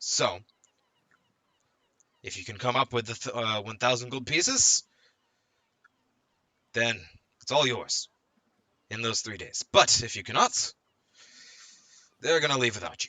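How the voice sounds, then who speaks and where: Putting on a raspy character voice, a man speaks at a moderate pace and medium pitch with fairly even intonation, big swings in loudness, and long, frequent pauses. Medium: actual play. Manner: businesslike.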